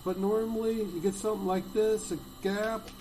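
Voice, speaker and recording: Fairly slow male speech with background music. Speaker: investing channel host. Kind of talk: screen-share tutorial. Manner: halting.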